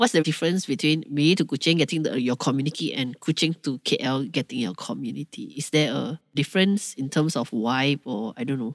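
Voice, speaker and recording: In a very clean recording with a silent background, the speaker talks with a Malaysian accent at a fairly quick pace with hardly any pauses. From Kuala Lumpur, Malaysia. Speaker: podcast co-host. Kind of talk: casual chat, Manglish. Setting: studio.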